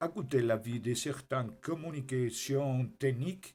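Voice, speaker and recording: In a Spanish accent, a man with a medium-pitched, somewhat breathy voice speaks at a very slow pace with ordinary pitch variation. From Spain. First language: Spanish (speaking French). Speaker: private citizen giving a statement. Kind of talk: reading aloud a prepared statement. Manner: formal.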